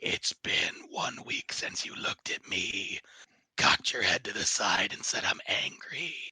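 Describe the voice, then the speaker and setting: Putting on a character voice, a man speaks with a raspy, extremely high pitch. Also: moderate pace. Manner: menacing, angry.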